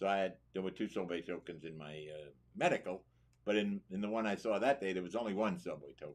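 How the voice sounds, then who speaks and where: A man talks at a very fast pace with a New York accent. His pitch is very deep and low. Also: ordinary pitch variation. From New York City. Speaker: war veteran. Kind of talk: interview.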